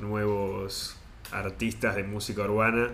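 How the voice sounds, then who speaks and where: Very slowly, a man talks in a space with audible room echo. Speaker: podcast co-host. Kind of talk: casual chat.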